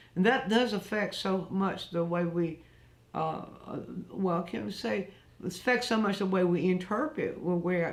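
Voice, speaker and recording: Audible room echo surrounds this woman. She talks at a fairly slow pace, her pitch varying in an ordinary way. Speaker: art teacher. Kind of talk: live online art lesson. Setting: live stream. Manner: halting, many fillers and restarts.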